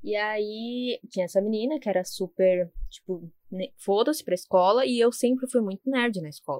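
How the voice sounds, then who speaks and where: An ordinary speaking voice from a woman, fairly high in pitch, with lively intonation at a moderate pace, dry and close with no echo. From São Paulo, Zona Leste. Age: 20s. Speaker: podcast co-host, university student. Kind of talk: casual chat.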